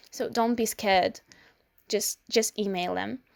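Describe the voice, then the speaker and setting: A woman at a fairly slow pace, very clean recording with a silent background, dry and close sound with no echo. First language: Ukrainian or Russian. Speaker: student vlogger. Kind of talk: informational vlog. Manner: hesitant, with fillers.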